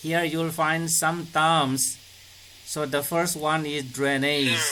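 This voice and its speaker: Amid noticeable background noise and audible room echo, a man speaks very slowly in a fairly high pitch with monotone, flat intonation. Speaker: school teacher. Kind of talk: online class lecture. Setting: video call.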